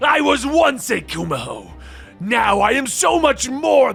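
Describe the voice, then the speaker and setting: A man's growling, put-on character voice at an extremely high pitch and a fairly slow pace. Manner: snarling.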